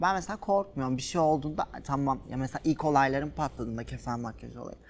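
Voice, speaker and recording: Her voice sits very deep and low in pitch for a woman. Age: 20s. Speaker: social media influencer. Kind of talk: casual interview. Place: studio. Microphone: lapel.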